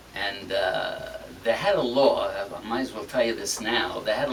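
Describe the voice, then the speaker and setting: Noticeable background noise sits behind a man talking at a moderate pace with a medium pitch. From Sicily, Italy. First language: Italian. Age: 70s. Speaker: singer. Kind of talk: interview. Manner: halting.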